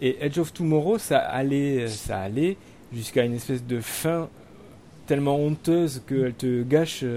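A man's medium-pitched voice, dark and mellow in tone, with ordinary pitch variation. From France, Limousin. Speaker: podcast host. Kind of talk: casual chat. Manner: halting.

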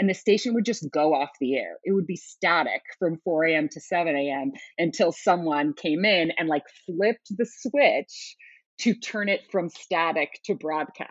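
An unremarkable speaking voice, a woman with an American accent, fairly low in pitch, with lively intonation at a fairly slow pace. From US West Coast (Oakland, California). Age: 40s. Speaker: Broadway media personality, former radio host. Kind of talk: casual interview chat.

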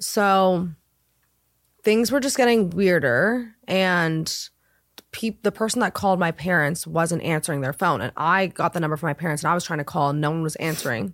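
At a moderate pace, a woman with a fairly low pitch speaks with lively intonation in a very clean recording over a silent background. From Southern California. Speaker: wardrobe stylist. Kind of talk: casual chat.

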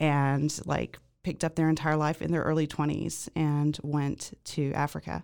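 A woman speaks with a dark, mellow tone and a very deep, low pitch, in an American accent. Her intonation is monotone and flat, on a very clean recording with a silent background. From Zimbabwe, later US. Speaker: podcast guest sharing life story. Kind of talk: interview, personal testimony. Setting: podcast studio.

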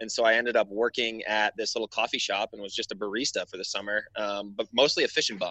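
A man with an American accent speaks at a very fast pace with hardly any pauses and big swings in loudness. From Wisconsin. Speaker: mapping app marketing specialist. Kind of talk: casual interview.

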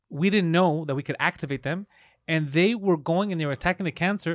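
A man's high-pitched voice at a fairly quick pace, with ordinary pitch variation and a dry, close sound with no echo, in a very clean recording over a silent background. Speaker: podcast host; comedian. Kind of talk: casual chat.

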